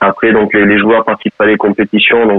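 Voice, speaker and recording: This man's voice sits at a fairly low pitch. He talks at a moderate pace. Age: 30s. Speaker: wheelchair rugby coach and sports educator. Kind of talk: interview. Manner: halting, many repeated words.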